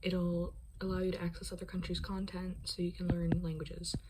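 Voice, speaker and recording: The pace of the talking is moderate, and noticeable background noise can be heard. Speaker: language learning vlogger. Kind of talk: casual vlog.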